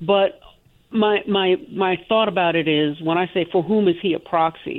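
Fairly slow talking from a woman at a medium pitch, with ordinary pitch variation. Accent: American. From Georgia, US. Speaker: caller. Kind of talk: call-in conversation. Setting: phone call. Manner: animated.

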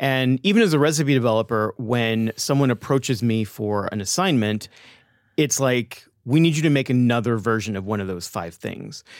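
A man's normal speaking voice with an American accent, medium pitch, ordinary pitch variation and a moderate pace. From Texas (Austin). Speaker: chef and cookbook author. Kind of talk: interview conversation. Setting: studio.

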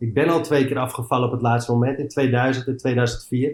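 At a moderate pace, a man talks at medium pitch in an unremarkable speaking voice. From Amsterdam, Netherlands. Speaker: former footballer and coach. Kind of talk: casual interview.

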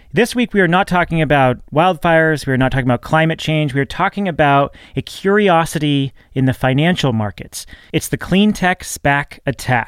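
In an ordinary speaking voice, a man talks at a moderate pace with a fairly high pitch, lively intonation and very even loudness, captured as a dry, close sound with no echo on a very clean recording with a silent background. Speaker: podcast host. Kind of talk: scripted intro and casual interview chat.

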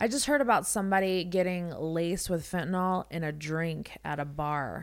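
At a moderate pace, a woman with an ordinary speaking voice talks at a fairly low pitch. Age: 40s. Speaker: podcast host. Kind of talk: casual interview. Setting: studio.

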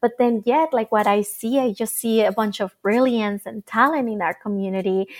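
With a Spanish accent, a woman speaks at a moderate pace and a fairly high pitch with ordinary pitch variation and hardly any pauses, in a very clean recording with a silent background and a dry, close sound with no echo. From Mexico and Mesa, Arizona. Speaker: nonprofit founder. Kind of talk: interview.

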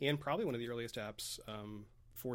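Here a man talks at a fairly quick pace in a plain, everyday voice. His pitch is medium. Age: 30s. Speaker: writer and blogger. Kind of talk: casual chat.

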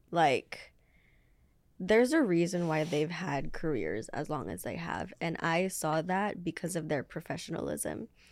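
A woman with vocal fry talks at a fairly slow pace, her fairly low pitch showing ordinary variation. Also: very clean recording, silent background. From Filipino heritage, English first language. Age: 20s. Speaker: R&B singer. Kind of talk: casual interview.

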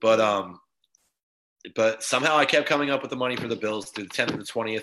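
Against a quiet background, a man with an American accent talks at a very fast pace in a medium pitch, his tone bright and sharp and his intonation fairly even. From Florida, Tampa. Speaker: podcast host. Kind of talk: casual chat.

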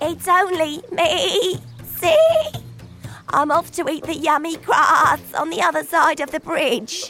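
Over clear music in the background, a put-on character voice speaks at an extremely high pitch and a fairly slow pace. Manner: sweet, polite.

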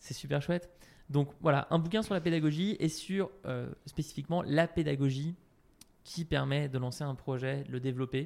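Fairly high pitch from a man at a moderate pace, ordinary pitch variation, and long, frequent pauses. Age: 30s. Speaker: CEO of an online training company for entrepreneurs. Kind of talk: casual interview answering listener questions. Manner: halting with frequent repetitions.

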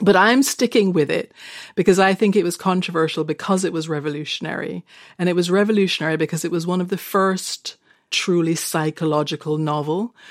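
In a very clean recording with a silent background, a woman with an ordinary speaking voice talks at a fairly quick pace, her fairly low pitch showing ordinary variation. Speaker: screenwriter and novelist. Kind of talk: casual chat.

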